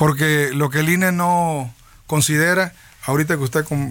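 Here a man talks in a fairly high voice with fairly even intonation. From Veracruz, Mexico (Tierra Blanca, Papaloapan basin). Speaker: politician. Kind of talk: interview.

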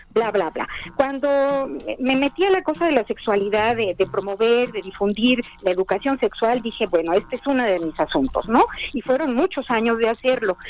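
Noticeable background noise sits behind a woman with a fairly high pitch. Her intonation is lively and her pace moderate. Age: 70s. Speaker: journalist and novelist. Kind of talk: interview.

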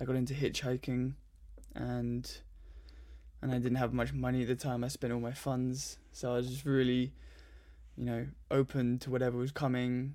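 A dark, mellow tone in a southern English accent at a moderate pace, on a very clean recording with a silent background. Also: man. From southern England (Surrey, southwest London). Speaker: meditation and yoga practitioner, traveller. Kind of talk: casual interview chat.

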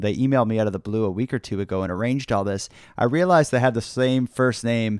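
A man with a Canadian Maritime accent talks very fast at a medium pitch. The sound is dry and close with no echo, and the background is silent in a very clean recording. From Nova Scotia, Canada. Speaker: podcaster. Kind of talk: casual interview chat. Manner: fast talker, excitable.

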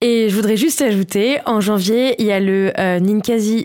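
A woman's medium-pitched voice with ordinary pitch variation, a normal speaking voice. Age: 30s. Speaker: podcast columnist. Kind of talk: casual chat.

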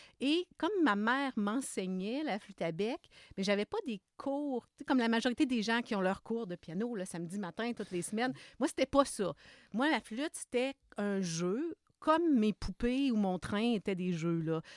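A woman with a Quebec accent, fairly high-pitched, with very wide pitch swings and a fairly slow pace, in a very clean recording with a silent background and a dry, close sound with no echo. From Quebec, Lower St. Lawrence region. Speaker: music education professor. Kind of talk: interview.

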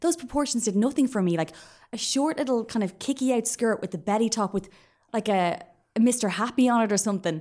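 Speaking very fast in an Irish accent, a woman with a fairly high pitch and a dark, mellow tone uses lively intonation in a very clean recording with a silent background. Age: 30s. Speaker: podcaster. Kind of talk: casual chat.

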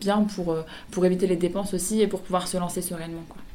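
A medium-pitched woman at a fairly quick pace, monotone and flat, amid noticeable background noise. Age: 30s. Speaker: clothing brand founder. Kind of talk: radio interview. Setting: radio studio.

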